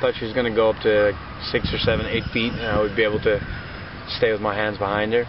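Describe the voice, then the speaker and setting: Over noticeable background noise, a man with a fairly low pitch speaks at a very fast pace in a monotone, flat intonation. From Netherlands, Limburg province. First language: Dutch. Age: 30s. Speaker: chef and mind-body therapist. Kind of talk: casual street interview.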